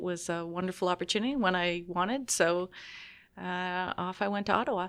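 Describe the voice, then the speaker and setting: A woman with a Canadian accent speaks in an unremarkable speaking voice at a medium pitch and a moderate pace, on a very clean recording with a silent background. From southern Ontario, Canada (Richmond Hill, near Toronto). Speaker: senior diplomat. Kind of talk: interview.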